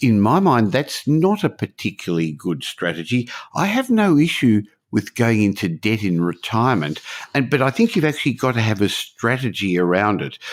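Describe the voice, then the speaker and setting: With an Australian accent, a man speaks at a moderate pace and medium pitch, making very wide pitch swings on a very clean recording with a silent background. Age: 60s. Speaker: podcast host, property investor. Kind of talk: podcast interview.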